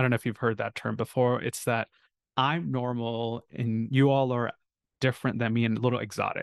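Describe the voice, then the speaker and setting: Over a quiet background, a man speaks in a normal speaking voice at a medium pitch with fairly even intonation, the sound dry and close with no echo. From South India, near Chennai; moved to US at 8-9. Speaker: family medicine physician. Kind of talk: interview.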